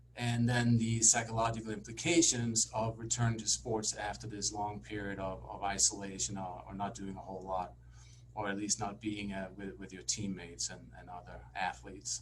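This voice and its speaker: A man's somewhat breathy voice swings very widely in pitch and heavily in loudness. Room echo can be heard. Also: fairly low pitch for a man, moderate pace. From Denmark. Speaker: sports psychologist. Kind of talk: lecture.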